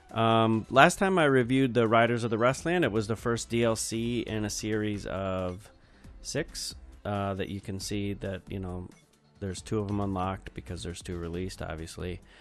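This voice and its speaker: At a moderate pace, a man with a fairly low pitch speaks in a tired tone over music in the background. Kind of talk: casual video game review commentary. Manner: monotone, tired.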